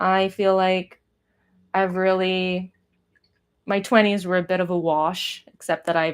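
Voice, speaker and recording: A woman with an American accent speaks fairly slowly at a fairly low pitch, in monotone, flat intonation. The recording is very clean and the background silent. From US West Coast, Pasadena near Los Angeles. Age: 30s. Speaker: artist. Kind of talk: casual live stream chat while painting. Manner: rambling, hesitant with fillers.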